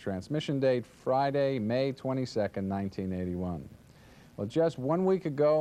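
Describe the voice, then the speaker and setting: In a normal speaking voice, a man talks at a fairly quick pace with medium pitch. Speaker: network promotion executive. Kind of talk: corporate presentation to affiliates. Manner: upbeat, salesy.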